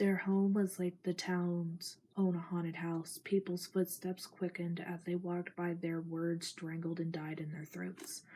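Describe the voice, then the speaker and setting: Soft-spoken, somewhat breathy delivery in a flat monotone at a fairly slow pace. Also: woman, fairly low pitch for a woman. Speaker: ASMR creator. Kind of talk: reading aloud.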